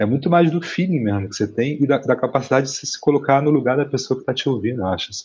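A man is speaking. His voice is somewhat breathy. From Rio de Janeiro, West Zone (Brazil). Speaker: musician and visual artist. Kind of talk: casual interview chat.

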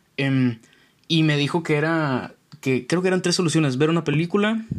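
The speaker has a Mexican accent and ordinary pitch variation. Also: man. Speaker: podcast host. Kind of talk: casual solo monologue. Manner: halting.

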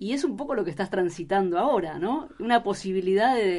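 In a Rioplatense accent, this voice moves at a fairly slow pace with lively intonation. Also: woman. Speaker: radio journalist. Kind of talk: interview. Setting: studio.

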